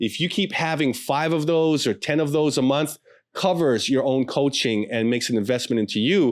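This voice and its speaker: Over a very clean recording with a silent background, a man talks at a fairly high pitch, with ordinary pitch variation and very even loudness. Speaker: pastor and podcast host. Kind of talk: podcast intro and promo. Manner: fast.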